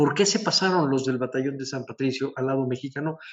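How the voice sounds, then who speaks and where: The speaker is a man. His voice lands at a medium pitch. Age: 60s. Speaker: historian and museum director. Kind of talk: lecture. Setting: on a balcony at a historic castle. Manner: halting, many fillers.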